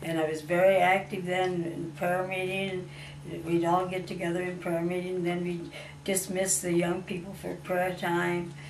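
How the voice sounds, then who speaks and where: A woman with a fairly low pitch speaks at a moderate pace in a monotone, flat intonation. Noticeable background noise runs under her voice. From Waterloo, Iowa. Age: 80s+. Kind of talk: personal testimony interview answer.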